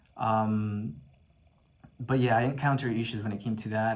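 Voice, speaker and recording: Audible room echo surrounds a man whose fairly low voice shows ordinary pitch variation. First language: not English. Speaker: video blogger. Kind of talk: personal testimony. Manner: halting, many fillers and repetitions.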